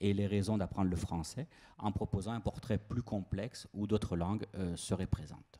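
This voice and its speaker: Dark and mellow in tone, a man talks at a fairly quick pace and a fairly low pitch. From France, Toulouse. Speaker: university lecturer. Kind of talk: conference talk. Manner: hesitant, frequent filler sounds.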